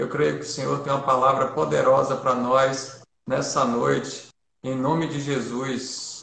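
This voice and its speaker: A man speaks fairly slowly at medium pitch with a monotone, flat intonation. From Bahia, Brazil (Feira de Santana). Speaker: pastor. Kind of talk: church livestream talk and prayer. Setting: online livestream. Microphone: too quiet.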